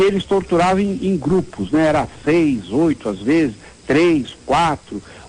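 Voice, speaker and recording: This man's voice sits high and swings very widely in pitch. He talks at a fairly slow pace. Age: 60s. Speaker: city councillor and surgeon. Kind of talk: interview.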